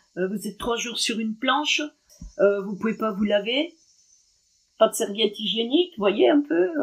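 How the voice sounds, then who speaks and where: Her fairly high, somewhat breathy voice carries lively intonation as the woman speaks. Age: 60s. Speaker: former prisoner. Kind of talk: testimony. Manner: halting.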